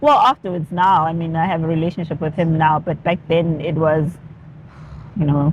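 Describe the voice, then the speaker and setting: At a moderate pace, this voice keeps a fairly even intonation over noticeable background noise. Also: woman, fairly low pitch for a woman. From South Africa, Durban (KwaZulu-Natal). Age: young. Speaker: activist, former radio presenter. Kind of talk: interview. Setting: in-person interview in Durban. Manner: casual, with frequent fillers.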